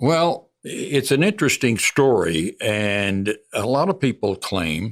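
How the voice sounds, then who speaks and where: A man's fairly low voice with lively intonation, recorded very cleanly against a silent background. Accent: Texan. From Texas, Hunt County (northeast Texas). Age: 80s+. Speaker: veteran broadcaster. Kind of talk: interview.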